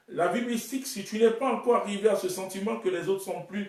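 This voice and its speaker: Lively in intonation, a man with a high-pitched voice speaks at a fairly slow pace amid audible room echo. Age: 30s. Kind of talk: sermon.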